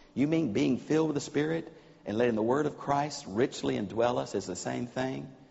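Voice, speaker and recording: Over a quiet background, a man with an American accent and vocal fry speaks at a moderate pace with very wide pitch swings. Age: old. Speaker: preacher. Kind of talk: sermon. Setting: church. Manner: animated. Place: church. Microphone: lapel.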